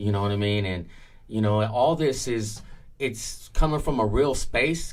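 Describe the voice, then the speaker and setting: A man with an American accent, lively intonation, and a moderate pace, amid audible room echo. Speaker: music industry veteran. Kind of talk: interview. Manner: loud.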